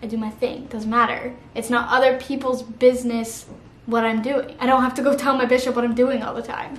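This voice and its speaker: In audible room echo, a woman with an American accent talks at a fairly quick pace in a high, monotone, flat voice. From Missouri. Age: 20s. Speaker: YouTuber. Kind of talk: casual vlog talk to camera. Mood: earnest, supportive. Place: home room.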